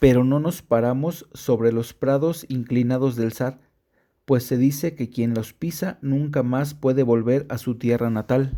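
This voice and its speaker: Slowing to a fairly slow pace, a man talks with a medium pitch and fairly even intonation. His tone is dark and mellow. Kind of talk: audiobook story narration.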